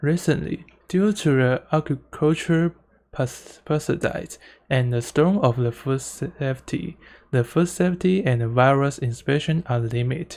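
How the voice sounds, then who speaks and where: A non-native accent at a fairly slow pace, on a very clean recording with a silent background. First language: Mandarin Chinese. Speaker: student presenter. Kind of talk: conference presentation. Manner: halting, with self-corrections.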